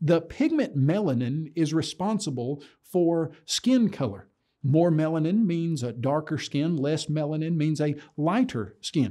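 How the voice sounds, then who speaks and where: A man speaks at a fairly slow pace. The background stays quiet. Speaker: presenter. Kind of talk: lecture. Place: studio.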